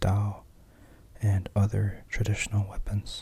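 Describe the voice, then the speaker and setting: A man whispers in a soft-spoken, calm tone. His pace is fairly slow. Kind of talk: book reading, ASMR. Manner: soft-spoken, whispered, calm.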